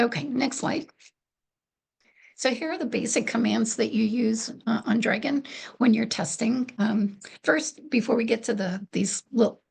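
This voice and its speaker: Soft-spoken, a woman talks with vocal fry at a fairly high pitch. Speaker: program coordinator presenting software tutorial. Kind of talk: webinar tutorial presentation. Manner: hesitant, many fillers.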